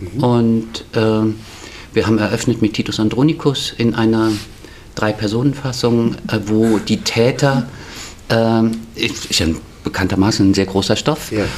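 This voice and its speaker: A man's medium-pitched voice at a moderate pace, fairly even in intonation, with noticeable background noise. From Frankfurt am Main, Germany. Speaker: stage designer and theatre manager. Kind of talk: interview.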